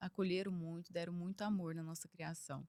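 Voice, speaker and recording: A woman with a Minas Gerais accent speaks at medium pitch. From Brazil, Minas Gerais (Triângulo Mineiro). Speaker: engineer and executive. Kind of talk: podcast interview.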